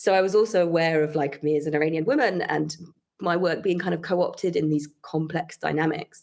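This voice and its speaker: A woman talks with a British accent. Her pace is fairly quick. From United Kingdom. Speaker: composer and researcher. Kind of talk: interview. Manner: fluent, with frequent fillers like you know.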